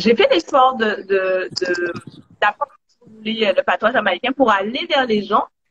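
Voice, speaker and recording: A woman with a Guadeloupean accent at a moderate pace, ordinary pitch variation, and a dry, close sound with no echo. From Guadeloupe (Marie-Galante). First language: Guadeloupean Creole (speaking French). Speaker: Caribbean cooperation activist. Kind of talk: interview. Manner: hesitant, many fillers.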